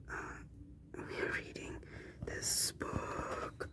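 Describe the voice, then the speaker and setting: A whisper comes through over noticeable background noise. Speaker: ASMR content creator. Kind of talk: casual talk to camera, video intro.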